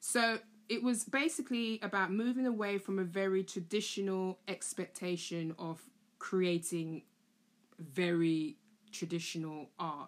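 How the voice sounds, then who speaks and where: Speaking at a fairly slow pace, a woman with a London accent uses ordinary pitch variation. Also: medium pitch for a woman. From London (Tottenham). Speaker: art educator, podcast host. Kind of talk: solo monologue, casual explainer. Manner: casual, chatty.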